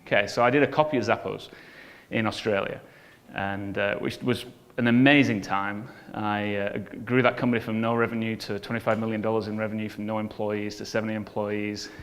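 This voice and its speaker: A man with an English accent talks at a fairly quick pace in a fairly low voice. His intonation stays fairly even, and room echo can be heard. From northern England (Bolton). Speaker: business coach and entrepreneur. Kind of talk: conference talk.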